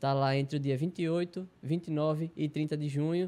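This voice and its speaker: A man's fairly high-pitched voice with a dark, mellow tone and fairly even intonation. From Arapiraca, Alagoas, Brazil; Alagoas, Brazil. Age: 20s. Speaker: taekwondo athlete. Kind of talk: interview. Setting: studio. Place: studio. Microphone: handheld.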